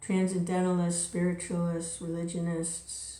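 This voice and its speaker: Woman with audible room echo. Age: 70s. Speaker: devotional reader and speaker. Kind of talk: spiritual talk. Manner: casual.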